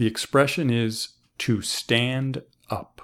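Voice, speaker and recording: A man with an American accent and vocal fry speaks at a very slow pace. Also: very clean recording, silent background. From US, Boston. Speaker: English teacher. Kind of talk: language lesson.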